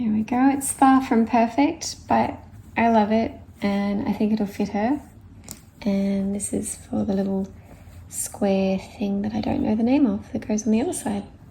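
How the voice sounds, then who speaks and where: A woman talks softly at a fairly slow pace, her fairly high voice somewhat breathy with a dark, mellow tone. She leaves long, frequent pauses. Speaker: crafter. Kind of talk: tutorial. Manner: soft-spoken.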